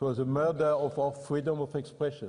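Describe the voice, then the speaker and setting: Somewhat breathy and dark, mellow in tone, a man speaks with a French accent. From France. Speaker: EU committee president. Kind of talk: conference speech. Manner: halting.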